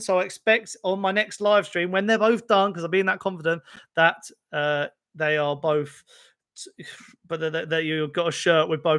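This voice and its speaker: Speaking at a fairly quick pace, a man uses a raised, projected voice with a high pitch and a bright, sharp tone. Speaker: football fan youtuber. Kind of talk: live stream chat. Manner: hesitant, filler-heavy.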